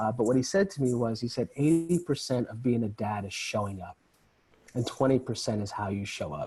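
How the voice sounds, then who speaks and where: With an American accent and medium pitch, a man talks at a fairly quick pace in a calm, somewhat breathy tone. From New York. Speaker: men's group founder. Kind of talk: podcast interview.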